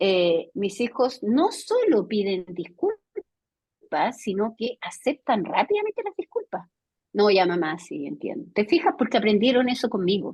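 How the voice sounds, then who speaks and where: Somewhat breathy and fairly high, a woman with a Chilean accent speaks at a fairly slow pace with very wide pitch swings. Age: 60s. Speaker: educator and academic. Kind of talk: video conference lecture discussion. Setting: video call.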